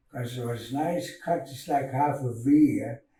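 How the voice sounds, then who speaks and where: At a very slow pace, a man speaks in a somewhat breathy voice at a fairly high pitch. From Canada, Dakelh First Nation (central British Columbia). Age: old. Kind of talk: oral storytelling. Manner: halting.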